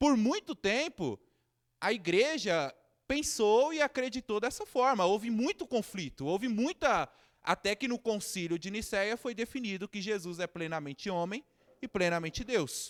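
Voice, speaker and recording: Talking at a fairly slow pace, a man with a high pitch makes very wide pitch swings, recorded very cleanly with a silent background and a dry, close sound with no echo. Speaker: theology teacher and pastor. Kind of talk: lecture.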